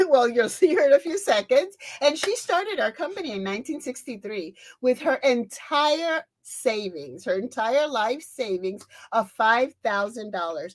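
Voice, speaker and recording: With an animated tone and very wide pitch swings, a woman speaks at a high pitch and a moderate pace. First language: Spanish. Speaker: beauty sales consultant. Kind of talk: event presentation.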